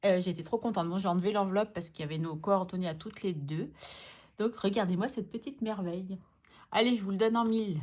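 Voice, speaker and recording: A woman speaks at a very fast pace with a medium pitch and ordinary pitch variation. The recording is very clean, with a silent background. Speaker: budgeting vlogger. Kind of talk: casual vlog. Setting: at home. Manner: soft-spoken; hesitant with fillers.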